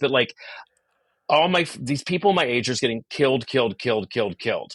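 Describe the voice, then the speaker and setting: In an animated tone, a man talks at a very fast pace with a fairly high pitch and lively intonation over a quiet background. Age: 60s. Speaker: comedian and actor. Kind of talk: casual chat.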